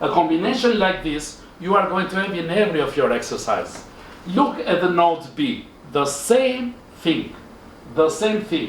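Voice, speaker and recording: A man with a high voice speaks at a moderate pace with lively intonation, with audible room echo and noticeable background noise. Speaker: engineering lecturer. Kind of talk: tutorial.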